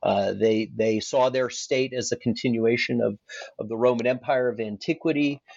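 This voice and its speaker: Here is an ordinary speaking voice with an American accent. It moves at a moderate pace with fairly even intonation. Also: man, medium pitch for a man. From Alaska. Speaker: historian, former navy officer. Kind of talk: academic interview.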